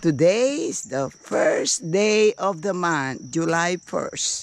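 The speech moves at a very slow pace, with light background noise and a dry sound with no echo. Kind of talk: casual vlog chat. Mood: warm, blessing-filled. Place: garden. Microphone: phone near.

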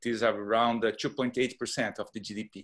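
A man with a Portuguese accent speaks against a quiet background. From Brazil. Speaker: neuroscientist. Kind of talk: panel discussion. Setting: video call. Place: home room. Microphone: earbuds.

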